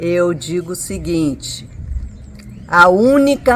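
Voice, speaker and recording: With noticeable background noise behind her, a woman speaks at a very slow pace using lively intonation. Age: 70s. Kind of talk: interview testimony.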